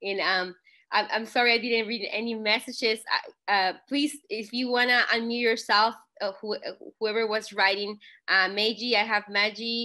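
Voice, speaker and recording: Against a quiet background, the speaker's bright, sharp tone comes through in a Spanish accent. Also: woman. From Mexico. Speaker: network marketing leader. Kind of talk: online call talk. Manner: animated.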